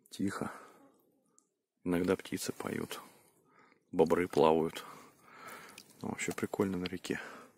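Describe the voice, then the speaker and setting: A man speaks quietly at a very deep, low pitch in a flat monotone, fairly slow with long, frequent pauses. The sound is dry and close, with no echo. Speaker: village vlogger. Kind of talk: casual outdoor vlog. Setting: outdoors by a river at night. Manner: quiet at night.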